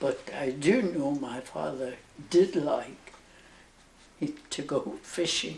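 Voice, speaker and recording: A woman's very slow speech, broken by long, frequent pauses, over noticeable background noise. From Northern Ireland. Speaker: nun. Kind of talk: interview answer.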